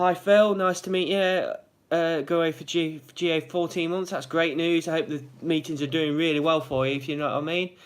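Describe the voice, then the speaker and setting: A man with a Derby accent talks at a fairly quick pace, his voice high-pitched and his intonation fairly even. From England, Derby. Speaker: vlogger in gambling addiction recovery. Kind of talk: live vlog, casual chat with viewers. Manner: fast.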